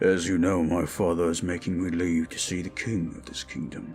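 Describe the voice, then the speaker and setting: Clear music plays behind a man doing a put-on character voice that is raspy and very deep, low in pitch. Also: moderate pace. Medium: audio drama. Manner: formal, restrained.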